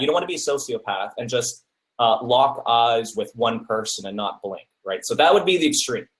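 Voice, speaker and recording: This is a man speaking. He keeps a moderate pace. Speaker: academic public speaking coach. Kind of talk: webinar lecture. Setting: webinar. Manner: filler-heavy.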